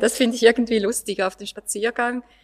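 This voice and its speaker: A woman with a plain, everyday voice, fairly high in pitch, at a moderate pace. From eastern Switzerland. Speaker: art historian and local resident. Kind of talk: panel discussion.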